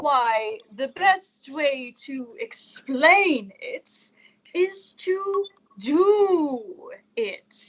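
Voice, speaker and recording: A put-on character voice at an extremely high pitch drawls at a very slow pace in a pompous tone, with very wide pitch swings. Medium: audio drama. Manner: pompous, wordy.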